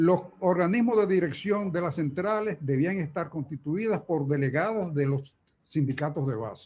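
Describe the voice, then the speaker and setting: A man speaks with a high pitch. His pitch variation is ordinary. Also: moderate pace. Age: 80s+. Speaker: trade union leader. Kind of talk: conference talk. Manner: halting.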